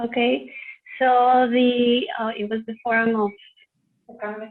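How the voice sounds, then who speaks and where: In a Spanish accent, a woman speaks at a fairly slow pace. Her pitch is fairly high and her intonation fairly even. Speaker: volunteer interpreter, forum panelist. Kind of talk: interpreting. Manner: halting, hesitant.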